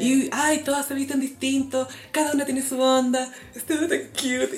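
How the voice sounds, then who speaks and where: With a Chilean accent, a woman talks at a moderate pace in a high pitch. Noticeable background noise runs behind her. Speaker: podcast co-host. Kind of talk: casual chat.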